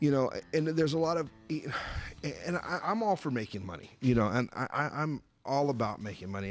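A man's voice sounds dry with no echo while faint music plays behind it. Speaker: radio show host. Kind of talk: talk radio host chat and ad read. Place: studio.

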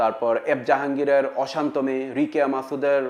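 An unremarkable speaking voice from a man at medium pitch with fairly even intonation. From Bangladesh, Cumilla. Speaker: film actor. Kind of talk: interview statement.

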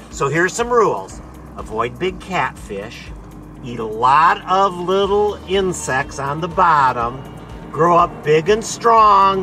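A man's high-pitched, upbeat voice at a very slow pace, with very wide pitch swings and music in the background. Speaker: fish biologist. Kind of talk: playful pep talk to fish. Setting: outdoors. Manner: upbeat, encouraging.

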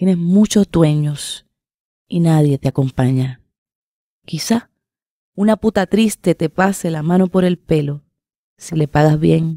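A woman speaks at a fairly slow pace in a dark, mellow tone with a fairly low pitch and ordinary pitch variation. The sound is dry with no echo, and the background is quiet. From Puerto Rico. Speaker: writer and poet; poet. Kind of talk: reading aloud. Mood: calm, somber, intimate. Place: studio. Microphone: studio mic.

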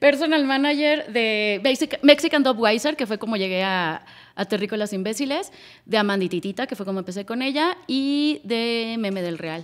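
At a moderate pace, a woman speaks with lively intonation and a fairly high pitch against a quiet background. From Monterrey, northern Mexico; Mexico. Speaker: music booker and marketing director; podcast guest. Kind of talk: casual chat. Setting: studio. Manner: animated. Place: studio. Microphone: studio mic.

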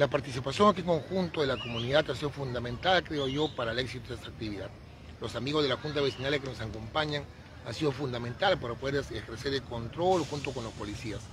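Very fast male speech with ordinary pitch variation, big swings in loudness, dry sound with no echo and noticeable background noise. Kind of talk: interview answer. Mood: grateful, upbeat. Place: open country. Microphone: handheld.

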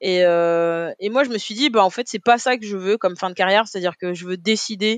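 A moderate pace with ordinary pitch variation, a dry, close sound with no echo, and a quiet background. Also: woman. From Paris, 18th arrondissement. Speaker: retired Olympic sprinter and deputy mayor. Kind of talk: interview. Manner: hesitant, many fillers.

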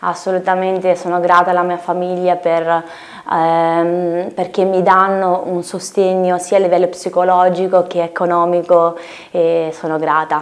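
Fairly low in pitch, a woman talks at a fairly slow pace with monotone, flat intonation. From Lithuania, moved to Italy at 10. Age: 20s. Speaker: singer-songwriter; guest. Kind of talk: interview. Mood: calm, friendly. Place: studio.

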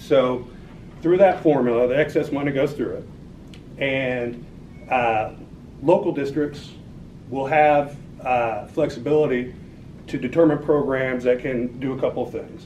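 A man with an American accent talks at a fairly slow pace with long, frequent pauses and fairly even intonation. Light background noise sits behind him. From Oklahoma (Watonga, northwest). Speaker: political campaign director. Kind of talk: talk and Q&A at political meeting. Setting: meeting room with audience. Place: meeting room. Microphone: camera far.

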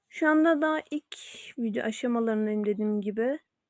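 A woman with a fairly high pitch and ordinary pitch variation speaks at a fairly slow pace in a dry, close sound with no echo. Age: young. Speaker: YouTuber. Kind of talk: casual vlog self-introduction. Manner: hesitant with fillers.

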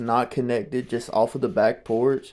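Dark and mellow in tone, a man talks at a fairly slow pace with ordinary pitch variation. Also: quiet background. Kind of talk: casual vlog commentary. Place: bathroom. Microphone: phone near.

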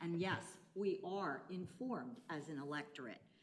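A woman speaks with very wide swings in pitch. Audible echo from the room surrounds her voice. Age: 60s. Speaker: retired teacher, public commenter. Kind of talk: public comment at council meeting. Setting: county commissioners meeting.

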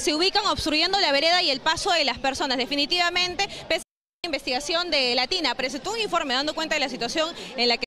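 A woman talks in a raised, projected voice at a very fast pace, her loudness very even and her pitch varying in an ordinary way. The sound is dry with no echo, though there is noticeable background noise. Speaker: TV field reporter. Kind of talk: live news report. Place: street. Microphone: handheld.

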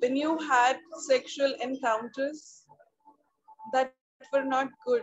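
A woman's calm, soothing tone at a high pitch, monotone and flat, at a very slow pace with long, frequent pauses and music in the background. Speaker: meditation guide. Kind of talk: guided meditation. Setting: video call. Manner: slow, calm, soothing. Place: home room. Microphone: video call.

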